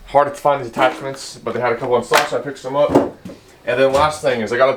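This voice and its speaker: Noticeable background noise runs under a man speaking at a fairly quick pace with fairly even intonation. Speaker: automotive and DIY YouTuber. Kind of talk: casual vlog tool talk. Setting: home workshop. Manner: fast; casual, filler-heavy.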